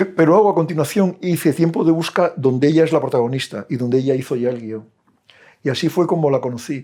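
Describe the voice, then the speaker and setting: At a very fast clip, the man talks in a fairly high voice whose pitch varies in an ordinary way. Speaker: film director and film teacher. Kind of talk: talk to an audience. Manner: halting.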